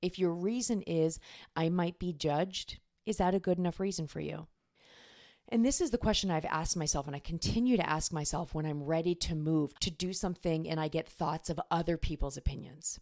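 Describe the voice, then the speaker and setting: At a fairly quick pace, a woman with an unremarkable speaking voice talks at a fairly low pitch with ordinary pitch variation, on a very clean recording with a silent background. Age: 40s. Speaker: life and business coach, podcast host. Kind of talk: solo podcast monologue, coaching talk.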